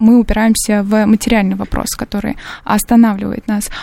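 Fairly high in pitch, a woman's voice carries a dark, mellow tone. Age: 20s. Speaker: political science student. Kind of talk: radio panel discussion. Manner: hesitant, many filler sounds.

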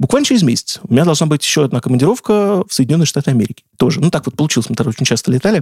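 A man talks at a very fast pace with hardly any pauses, his voice somewhat breathy. His intonation is lively and his tone animated, and the sound is dry and close with no echo. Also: fairly high pitch for a man. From Russia, Saratov. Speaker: video game journalist and editor. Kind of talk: casual interview.

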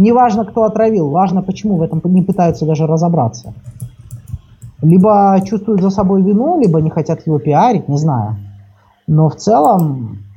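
A man with a high voice and lively intonation speaks at a moderate pace, with long, frequent pauses. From southern Ukraine, Kherson. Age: 20s. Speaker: public page admin, law student. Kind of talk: casual interview.

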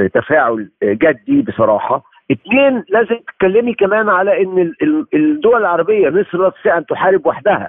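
A man's high-pitched voice at a moderate pace, very wide pitch swings, very even loudness and hardly any pauses. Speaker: human rights lawyer. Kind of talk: interview. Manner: animated.

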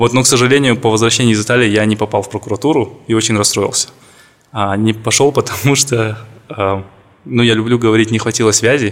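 Talking at a very fast pace, a man speaks at medium pitch. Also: fairly even intonation. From Kazakhstan, Karaganda. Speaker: corporate lawyer. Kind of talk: interview.

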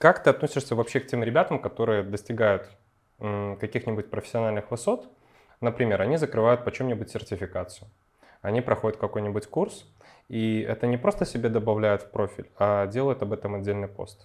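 A man's ordinary speaking voice, medium in pitch with ordinary pitch variation, at a fairly quick pace over a quiet background. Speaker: podcast host. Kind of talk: casual interview.

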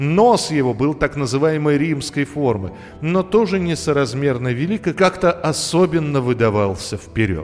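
Faint music plays behind a man speaking at a moderate pace with few pauses. His pitch is fairly high and his intonation lively.

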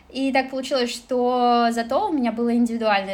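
Her voice is high-pitched. The woman keeps to a moderate pace. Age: 20s. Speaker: former office manager and kpop cafe assistant manager. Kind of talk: casual interview chat.

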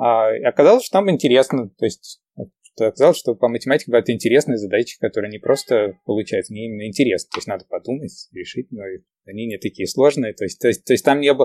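On a very clean recording with a silent background and a dry, close sound with no echo, a man talks very fast at a medium pitch with ordinary pitch variation and big swings in loudness. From Ukraine (Kyiv), moved to New York as a teen. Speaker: entrepreneur and math teacher. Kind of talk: casual interview chat. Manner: hesitant, many fillers.

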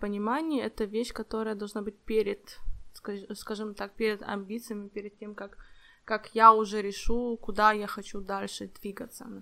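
This woman speaks at a fairly slow pace, her pitch fairly high and her tone bright and sharp. Her intonation stays fairly even, yet her loudness swings widely. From Ukraine. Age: 20s. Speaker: podcast co-host, project manager. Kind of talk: casual chat.

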